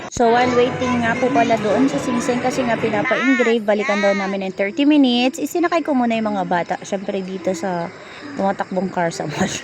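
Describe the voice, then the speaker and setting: A woman talks at a moderate pace in a fairly high pitch with lively intonation. Noticeable background noise is present. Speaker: vlogger. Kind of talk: vlog narration. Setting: shopping mall. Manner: animated; loud.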